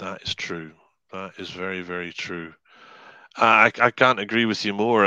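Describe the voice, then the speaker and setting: A man with a Scottish accent speaks slowly-ish, at a fairly low pitch with a bright, sharp tone and ordinary pitch variation. The sound is dry and close, with no echo. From Scotland. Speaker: hypnotherapist and life coach. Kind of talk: podcast interview answer.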